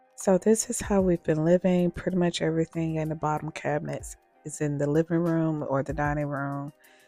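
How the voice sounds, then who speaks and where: Music plays in the background behind a woman's voice. Her pitch is very deep and low, and the sound is dry and close with no echo. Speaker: DIY home renovation vlogger. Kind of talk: casual talk to camera.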